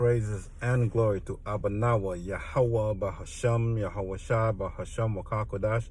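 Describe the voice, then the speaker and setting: A man's somewhat breathy voice at medium pitch with fairly even intonation. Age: 60s. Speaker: religious speaker. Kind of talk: spiritual rant. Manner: casual, halting with fillers.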